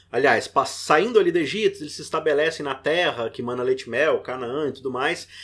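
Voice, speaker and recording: A man with a fairly high pitch speaks at a fairly quick pace with ordinary pitch variation. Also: hardly any pauses, big swings in loudness. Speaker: podcast host, Bible study teacher. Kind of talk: podcast discussion, Bible lesson.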